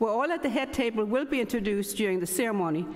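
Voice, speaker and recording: In a Danish accent, a woman speaks at a fairly high pitch with ordinary pitch variation, and audible room echo surrounds her voice. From Denmark. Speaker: academic society chapter president, professor. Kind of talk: ceremony welcome speech. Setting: ceremony hall with audience.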